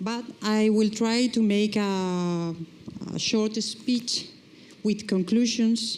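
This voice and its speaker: A woman speaks very slowly with a Spanish accent. Her pitch is fairly high and her intonation fairly even. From Spain. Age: middle-aged. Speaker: nurses' trade union leader. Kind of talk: reading aloud a prepared speech.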